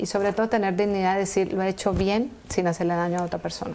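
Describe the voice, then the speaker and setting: A woman has an unremarkable speaking voice at a medium pitch. She talks at a fairly quick pace. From Colombia, Valle del Cauca and Pereira. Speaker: entrepreneur, engineer. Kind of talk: TV interview.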